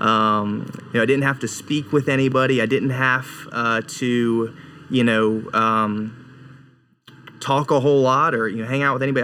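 This is an unremarkable speaking voice with an American accent. It moves at a moderate pace with fairly even intonation. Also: man. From North Carolina. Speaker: evangelist. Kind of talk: casual interview, testimony.

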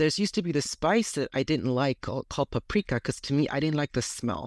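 A man with a plain, everyday voice speaks at a fairly high pitch and a fairly quick pace, in a dry, close sound with no echo on a very clean recording with a silent background. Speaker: publisher and accessibility consultant. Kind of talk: interview.

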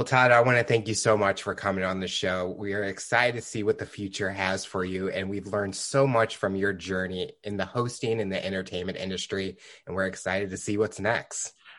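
A man's fairly low voice at a fairly quick pace, with fairly even intonation and hardly any pauses. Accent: Midwestern American. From US Midwest, St. Louis. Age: young. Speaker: podcast host. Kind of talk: interview.

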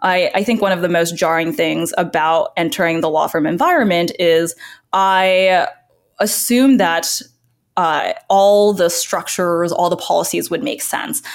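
A woman uses an ordinary speaking voice at a medium pitch. She talks at a fairly slow pace with ordinary pitch variation. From US, moved from China at four. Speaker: content creator, former lawyer. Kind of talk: casual interview.

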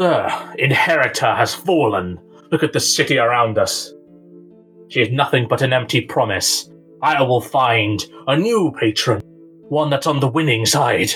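A man's put-on character voice at medium pitch, with lively intonation, a moderate pace, very even loudness and faint music in the background. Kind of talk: fantasy villain acting. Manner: barking, menacing, contemptuous.

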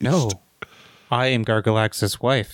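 A man's put-on character voice at a medium pitch. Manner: seductive.

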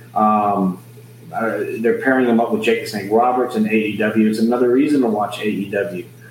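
An American accent at a moderate pace over noticeable background noise. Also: man. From Laredo, Texas. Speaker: wrestling and boxing ring announcer. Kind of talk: casual interview chat. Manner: upbeat, enthusiastic, hesitant with filler words.

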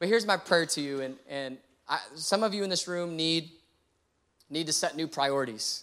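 With an American accent, a man is heard on a very clean recording with a silent background. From Texas (San Antonio). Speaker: pastor. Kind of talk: sermon. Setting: church stage with congregation. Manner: animated.

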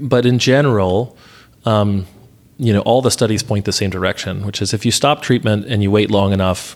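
A man with an American accent speaks in a plain, everyday voice, his intonation fairly even. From US South, Atlanta, Georgia. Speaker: physician researcher, allergist. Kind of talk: interview, casual professional chat.

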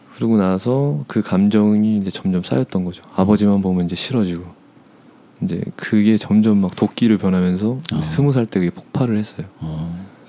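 Dark and mellow in tone, a man's voice sits at a fairly low pitch, moving at a moderate pace with ordinary pitch variation. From South Korea, Seoul area. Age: 30s. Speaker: interview guest. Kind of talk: personal life story interview.

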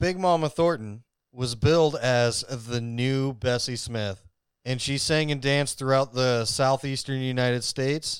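At a fairly slow pace, a normal speaking voice with ordinary pitch variation comes through on a very clean recording with a silent background. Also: man, medium pitch for a man. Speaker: podcast co-host. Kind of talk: casual chat about music history. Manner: casual, joking, profane.

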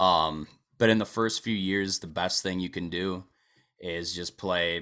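A man in an Upper Midwest accent, very deep and low in pitch, with a bright, sharp tone, on a very clean recording with a silent background. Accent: Upper Midwest American. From Wisconsin, US Midwest. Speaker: country singer-songwriter. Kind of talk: casual interview chat.

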